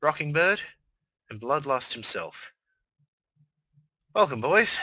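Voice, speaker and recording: The man speaks in a fairly high pitch. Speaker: online radio host. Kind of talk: live stream chat. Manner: halting.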